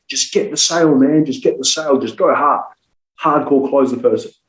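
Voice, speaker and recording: Speaking fairly quickly, a man has an Australian accent. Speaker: sales trainer. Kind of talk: podcast interview. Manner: animated.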